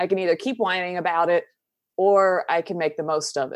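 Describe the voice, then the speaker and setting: Recorded very cleanly over a silent background, a woman speaks with an American accent. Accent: Southern US, thick but toned down. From US South. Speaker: mental health advocate and YouTuber. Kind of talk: casual interview chat, personal storytelling.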